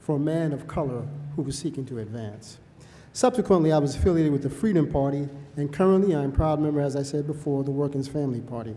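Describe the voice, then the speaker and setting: With a New York accent, a man talks at a very fast pace and fairly high pitch, with ordinary pitch variation. His tone is dark, mellow and somewhat breathy. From New York City. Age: 60s. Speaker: public commenter at hearing. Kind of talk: public testimony. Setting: public hearing.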